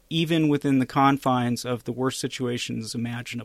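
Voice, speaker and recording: Dry and close with no echo, on a very clean recording with a silent background, a man has a plain, everyday voice with ordinary pitch variation. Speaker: podcast co-host and journalist. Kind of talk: casual chat.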